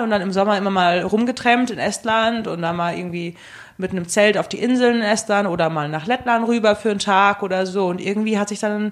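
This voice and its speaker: Using an unremarkable speaking voice, a woman talks at a moderate pace in a medium pitch with fairly even intonation. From Germany. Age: 20s. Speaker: travel enthusiast. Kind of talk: casual chat. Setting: studio.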